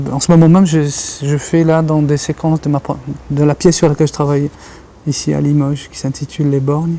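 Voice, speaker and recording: With a Kabyle accent, a man speaks at a fairly quick pace in a fairly high, monotone, flat voice, leaving long, frequent pauses against noticeable background noise. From Algeria. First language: Kabyle Berber (speaking French). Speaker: writer and journalist. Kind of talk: interview. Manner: halting, many repetitions.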